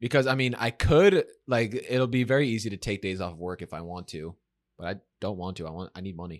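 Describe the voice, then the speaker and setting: A man speaks with a plain, everyday voice. His pitch is fairly low and his pace fairly quick. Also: lively intonation. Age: 20s. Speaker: podcast co-host, college student. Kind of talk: casual chat.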